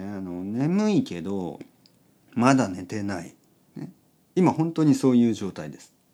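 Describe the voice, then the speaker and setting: A man speaks at a fairly slow pace with a relaxed, dark, mellow tone on a very clean recording with a silent background. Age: 40s. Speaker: podcast host for Japanese learners. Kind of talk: casual bedtime monologue.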